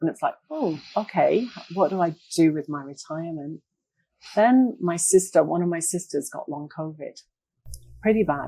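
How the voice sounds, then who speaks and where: Speaking at a moderate pace, a woman with an English accent uses a fairly low pitch with ordinary variation. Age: 60s. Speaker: retired occupational therapist. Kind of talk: interview.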